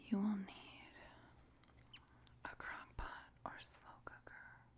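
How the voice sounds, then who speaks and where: The speaker whispers at a very slow pace. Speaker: ASMR cooking video creator. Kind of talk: ASMR cooking demonstration, talking while cooking. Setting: home kitchen with cooking sounds. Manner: whispered and soft-spoken, slow and deliberate.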